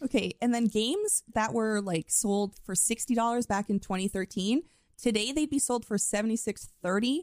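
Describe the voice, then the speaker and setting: A woman speaks in an ordinary speaking voice, fairly high in pitch with ordinary pitch variation and very even loudness. Her moderate pace comes through a dry, close sound with no echo. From Canada. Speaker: podcast host. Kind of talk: casual chat.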